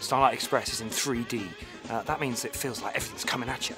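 Clear music plays behind a man as he talks. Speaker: radio breakfast show presenter. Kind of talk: casual radio-style banter to camera. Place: stage. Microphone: phone near.

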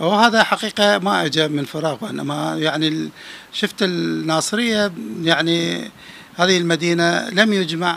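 In a dry sound with no echo, a man with a high pitch talks at a fairly slow pace with ordinary pitch variation. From Dhi Qar, Iraq. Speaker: journalist and folklore author; journalist. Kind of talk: interview; interview answer. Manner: halting. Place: home room. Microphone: handheld.

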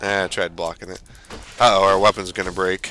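A man speaks at a fairly low pitch and a fairly slow pace. Noticeable background noise runs behind him. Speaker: let's play gamer. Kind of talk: gameplay commentary. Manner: casual.

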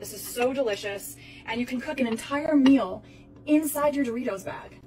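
With clear music behind her, a woman delivers her words fairly quickly. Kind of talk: tutorial. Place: kitchen.

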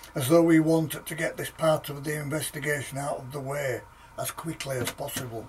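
A man speaks at a fairly high pitch in a monotone, flat intonation. Light background noise is present. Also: fairly quick pace, big swings in loudness. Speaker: author reading his own book. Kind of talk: ghost story reading. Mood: calm, steady narration. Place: home room.

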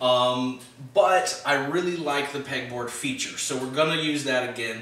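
Ordinary pitch variation comes through at a moderate pace, with audible room echo around the voice. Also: man. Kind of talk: tutorial. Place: workshop.

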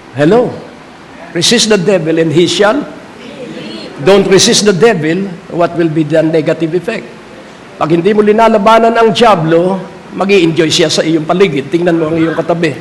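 The tone is animated, at a moderate pace. Long, frequent pauses break up the speech over noticeable background noise. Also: man, high pitch for a man, ordinary pitch variation. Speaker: preacher. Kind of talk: sermon. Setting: church with congregation. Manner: animated, call-and-response preaching; emphatic, repeats key lines.

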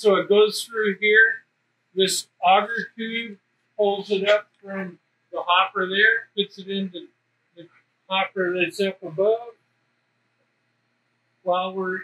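Raising and projecting his voice, a man speaks at a very slow pace. His intonation stays fairly even. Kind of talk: explanatory tour talk. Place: factory. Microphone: camera far.

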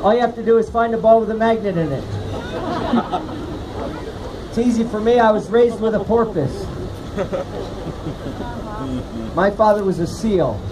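A man at a fairly quick pace with fairly even intonation, crowd noise behind him. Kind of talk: comedic performance patter. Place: street. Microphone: camera far.

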